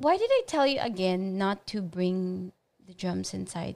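Speaking at a very slow pace, a woman leaves long, frequent pauses, and her loudness swings widely. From Philippines. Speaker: podcast guest, wife of a musician. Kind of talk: casual chat, interview.

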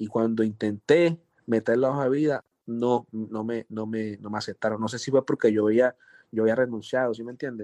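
In a dry, close recording with no echo and a quiet background, a man with a medium-pitched, dark, mellow voice speaks at a moderate pace, his intonation fairly even but his loudness swinging widely. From Colombia, Chocó (Pacific coast). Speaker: music producer. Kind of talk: interview.

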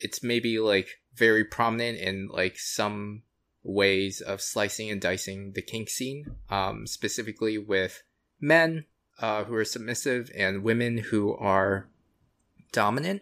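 The tone is bright and sharp, with ordinary pitch variation at a fairly slow pace. The recording is very clean, with a silent background. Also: man, fairly low pitch for a man. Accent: American. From US, Florida. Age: 30s. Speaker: podcast guest. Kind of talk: casual chat.

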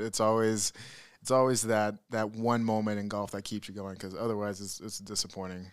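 A man's fairly low voice at a moderate pace, monotone and flat, in a very clean recording with a silent background. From US, military family, moved often; born Georgia. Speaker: comedian. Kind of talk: casual chat.

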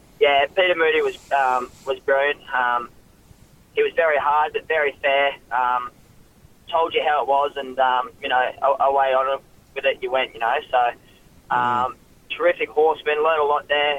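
At a moderate pace, a man with an Australian accent talks in a fairly high pitch and a fairly even intonation. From Queensland, Australia (Ipswich). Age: young. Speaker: jockey. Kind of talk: radio interview. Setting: phone line. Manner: halting, many fillers.

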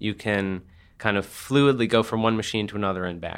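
A man with a plain, everyday voice, fairly low pitch and ordinary pitch variation at a fairly quick pace, on a very clean recording with a silent background. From New Jersey. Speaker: author. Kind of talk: interview.

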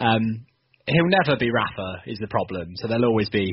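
A somewhat breathy voice in a southern English accent. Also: man. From southern England. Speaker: football fan guest. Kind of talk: casual chat.

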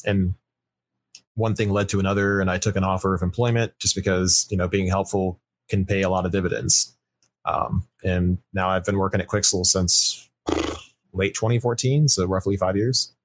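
A man with a normal speaking voice talks at a fairly quick pace and a fairly low pitch, his intonation fairly even and his loudness very even. The recording is very clean with a silent background, and the sound is dry and close with no echo. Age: 30s. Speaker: 3D game artist. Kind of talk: casual interview.

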